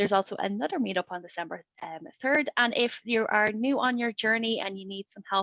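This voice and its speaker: A woman talks at a fairly quick pace, her tone bright and sharp and the sound dry and close with no echo. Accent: Irish. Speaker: developer advocate, webinar host. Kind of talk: webinar presentation. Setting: online webinar. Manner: talkative.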